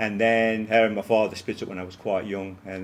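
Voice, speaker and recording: Speaking very fast with a Leicester accent, a man keeps a monotone, flat intonation over noticeable background noise. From English East Midlands, Leicester. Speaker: college principal. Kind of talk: interview. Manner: many fillers and repetitions.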